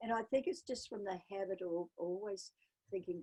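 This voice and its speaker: Sounding dry and close with no echo, a woman with a New Zealand accent speaks at a medium pitch and a moderate pace in a dark, mellow tone. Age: 80s+. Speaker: polar explorer and adventurer. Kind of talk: interview.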